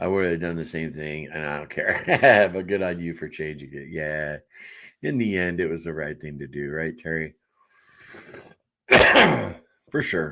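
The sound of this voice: A man puts on a character voice, hoarse and very deep. His intonation stays fairly even at a moderate pace.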